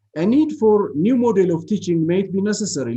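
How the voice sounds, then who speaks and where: A man's high-pitched voice, dark and mellow in tone, with very wide pitch swings. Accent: Ethiopian. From Ethiopia. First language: non-English (Ethiopian language). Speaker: university lecturer. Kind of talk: seminar talk. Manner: halting, many fillers.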